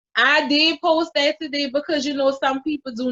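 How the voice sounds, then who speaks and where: A woman with a New Orleans accent, a bright, sharp tone and a fairly slow pace, in a dry, close sound with no echo. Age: 20s. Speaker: mother and YouTuber. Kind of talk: casual chat.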